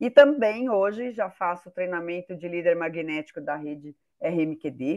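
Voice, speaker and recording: A woman with an ordinary speaking voice talks at a moderate pace in a fairly low pitch. Her intonation is lively, and her loudness swings widely. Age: 60s. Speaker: business owner, participant. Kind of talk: participant testimony.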